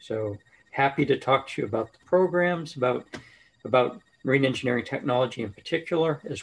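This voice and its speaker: With light background noise behind him, a man talks at a fairly quick pace, somewhat breathy, his pitch varying in an ordinary way. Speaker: engineering professor. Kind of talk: panel self-introduction. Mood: friendly, relaxed. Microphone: video call.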